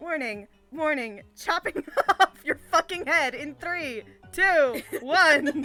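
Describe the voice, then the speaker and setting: A put-on, robotic character voice, high-pitched and very slow, with faint music in the background. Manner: menacing.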